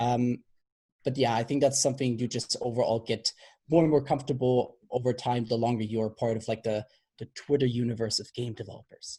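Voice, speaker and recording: A fairly quick delivery with a non-native accent. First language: not English. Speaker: game developer panelist. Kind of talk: panel discussion. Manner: halting.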